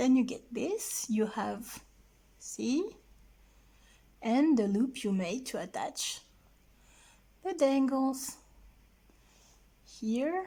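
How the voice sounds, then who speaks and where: With a non-native accent and a dark, mellow tone, this voice moves at a very slow pace through very wide pitch swings and long, frequent pauses. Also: woman, high pitch for a woman. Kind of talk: craft tutorial.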